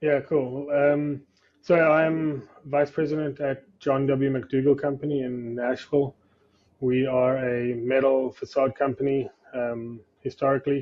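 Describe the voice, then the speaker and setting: Speaking with a South African accent, a man with a fairly high voice goes at a fairly slow pace, his intonation monotone and flat. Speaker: facade company executive. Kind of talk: podcast interview. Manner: hesitant, many fillers.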